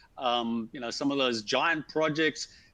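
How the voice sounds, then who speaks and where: In a Zimbabwean accent, the voice has a bright, sharp tone and a moderate pace. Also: man. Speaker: civil engineer, asset management consultant. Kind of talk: webinar conversation.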